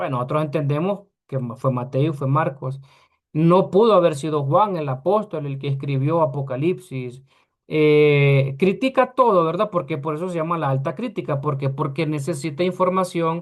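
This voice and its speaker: A man speaks in a normal speaking voice. His pitch is fairly high, with ordinary pitch variation. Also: moderate pace. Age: 40s. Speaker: Bible teacher. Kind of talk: lecture.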